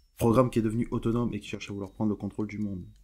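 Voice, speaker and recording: Music plays in the background as a man with a fairly low pitch talks very fast. His intonation is monotone and flat. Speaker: YouTuber discussing a cartoon series. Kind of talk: commentary video, partly read script.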